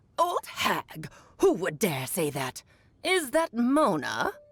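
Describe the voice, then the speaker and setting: In a put-on character voice, someone speaks very slowly at a fairly high pitch. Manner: indignant, haughty.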